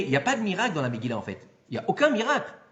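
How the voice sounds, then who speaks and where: Loud and at a very fast pace, a man talks over noticeable background noise. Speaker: rabbi giving a Torah class. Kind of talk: lecture. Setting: hall with live audience. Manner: animated.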